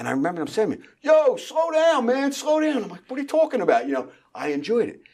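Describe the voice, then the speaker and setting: A man with a strong Philadelphia accent, on a very clean recording with a silent background. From Philadelphia, far northeast. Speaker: real estate team founder. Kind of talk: interview. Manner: halting.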